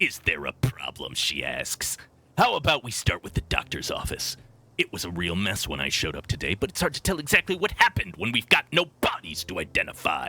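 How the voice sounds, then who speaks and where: Putting on a raspy character voice, a man speaks fairly quickly at a medium pitch. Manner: terrible, hammy cop voice.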